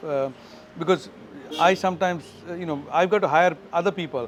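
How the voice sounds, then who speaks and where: A man's high-pitched voice with a Keralan accent and ordinary pitch variation. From India, Goa. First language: Malayalam. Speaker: tech company founder and CEO. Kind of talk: interview. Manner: halting, many fillers and repetitions.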